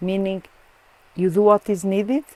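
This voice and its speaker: A woman with a Portuguese accent at a medium pitch and moderate pace, in a dry, close sound with no echo. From Portugal. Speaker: Krishna devotee. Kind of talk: interview answer.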